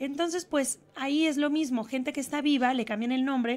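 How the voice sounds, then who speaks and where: A woman's moderately paced speech, pitch varying in an ordinary way. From Spain. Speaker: actress. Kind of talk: TV interview; interview answer. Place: studio. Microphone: handheld.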